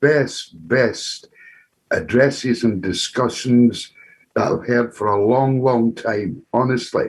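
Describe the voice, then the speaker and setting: With a Glaswegian accent, a man of medium pitch speaks at a fairly slow pace, using ordinary pitch variation. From Scotland, Glasgow. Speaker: audience member asking a question. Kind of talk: Q&A contribution at an online talk. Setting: video call. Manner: halting, repetitive.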